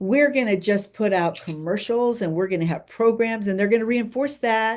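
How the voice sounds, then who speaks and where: A woman's fairly high voice moves at a moderate pace over a quiet background. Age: 60s. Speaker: professional keynote speaker. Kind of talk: casual interview chat. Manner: animated.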